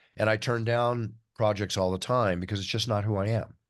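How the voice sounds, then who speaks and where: Against a quiet background, a man with a fairly low voice talks at a fairly quick pace, his pitch varying in an ordinary way. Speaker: combat sports announcer. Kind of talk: interview answer. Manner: charismatic, enthusiastic.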